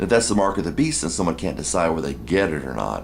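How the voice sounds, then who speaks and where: The speaker has an American accent and very wide pitch swings. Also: man. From United States. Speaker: video blogger on religion and politics. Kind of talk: casual monologue. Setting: at home in apartment. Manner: halting, many fillers and restarts.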